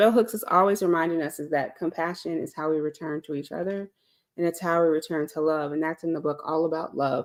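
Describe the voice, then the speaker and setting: Recorded very cleanly against a silent background, a woman speaks with ordinary pitch variation. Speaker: live-stream host, speaker on healing. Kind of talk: reflective live talk. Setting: live stream. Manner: conversational, hesitant with fillers.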